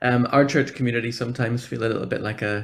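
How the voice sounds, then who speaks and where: This man has a Northern Irish accent and a medium pitch. His intonation is monotone and flat. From Northern Ireland. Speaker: church programme officer for social justice. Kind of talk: conference talk. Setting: video call.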